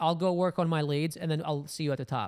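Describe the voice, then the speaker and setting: A man's high voice with ordinary pitch variation over a quiet background. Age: 30s. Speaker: entrepreneur, business coach; business coach. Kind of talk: interview, casual chat. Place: home room. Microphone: handheld.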